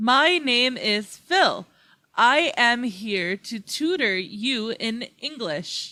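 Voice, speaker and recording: A woman performs a put-on character voice at a high pitch and a very slow pace. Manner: slow, steady, enunciating each syllable.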